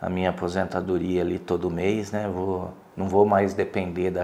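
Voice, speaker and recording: Audible room echo carries a man's very deep, low voice as he speaks at a fairly slow pace. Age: 50s. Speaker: lawyer and businessman. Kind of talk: interview testimony. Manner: halting, many fillers.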